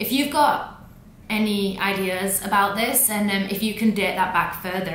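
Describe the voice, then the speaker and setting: The speaker sounds upbeat. Noticeable background noise runs underneath. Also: woman. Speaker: language educator. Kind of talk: casual talk to camera. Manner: upbeat, casual.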